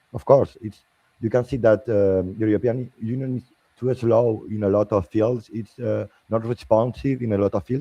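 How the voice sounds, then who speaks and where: This man speaks at a moderate pace with a medium pitch, fairly even intonation and a slight French accent. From Spain. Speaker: political party member, panelist. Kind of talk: panel debate. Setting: livestream. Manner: halting.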